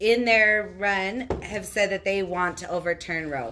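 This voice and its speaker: A woman's bright, sharp, medium-pitched voice with ordinary pitch variation. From Albuquerque, New Mexico. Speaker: activist. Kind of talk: casual chat. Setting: studio.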